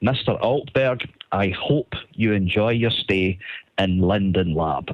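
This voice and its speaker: A man with a Scottish accent talks at a very slow pace. His pitch is fairly low, with ordinary variation. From Scotland. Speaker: caller. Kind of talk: recorded voice message.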